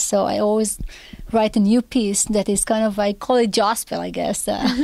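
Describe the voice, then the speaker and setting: A woman with an Israeli accent speaks at a fairly high pitch in a dark, mellow tone. Her pace is moderate and her intonation monotone and flat. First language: Hebrew. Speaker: composer. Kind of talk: interview.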